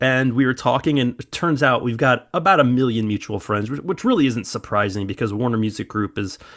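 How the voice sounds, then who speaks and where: A man with an American accent, medium pitch and a fairly quick pace, on a very clean recording with a silent background. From US Midwest (small town). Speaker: football fan, former music tour worker. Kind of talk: interview. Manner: animated.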